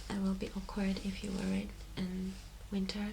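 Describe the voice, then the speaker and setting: Whispering and soft-spoken, a woman talks over noticeable background noise. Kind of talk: ASMR shop assistant roleplay. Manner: soft-spoken, whispering.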